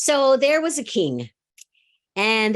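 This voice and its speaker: A woman speaks loudly at a fairly slow pace against a quiet background. Her tone is animated, with very wide pitch swings. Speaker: speaker at a spiritual church service. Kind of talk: sermon.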